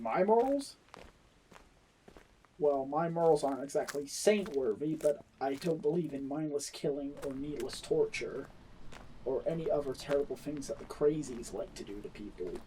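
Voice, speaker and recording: Doing a put-on character voice, a man sounds gruff and fairly high in pitch at a moderate pace. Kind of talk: ASMR roleplay. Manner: tough, gruff; threatening at first, softening later.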